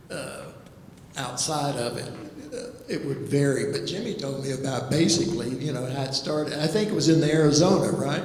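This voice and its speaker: Amid noticeable background noise and audible room echo, a man with an American accent talks at a fairly quick pace, using a fairly high pitch with ordinary pitch variation. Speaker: artist. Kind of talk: panel discussion. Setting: gallery talk with audience. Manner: halting.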